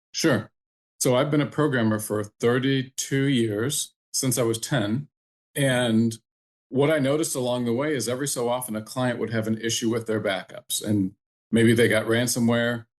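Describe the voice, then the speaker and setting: Against a quiet background, a man with a normal speaking voice talks at a moderate pace. His pitch is medium and his intonation fairly even. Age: 60s. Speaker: entrepreneur and programmer. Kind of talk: podcast interview.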